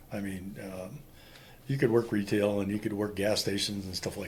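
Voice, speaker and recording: In a room with audible echo, a man with an American accent talks at a very fast pace, his voice fairly low-pitched and somewhat breathy. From Wisconsin, Green Bay area (US Upper Midwest). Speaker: Vietnam war veteran. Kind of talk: interview testimony.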